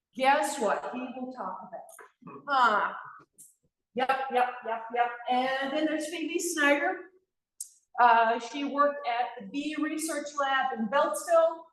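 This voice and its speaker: Speaking very slowly in a high pitch with ordinary pitch variation, a woman's voice swings widely in loudness amid audible room echo. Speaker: beekeeping association regional director. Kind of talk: club meeting announcement. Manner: animated.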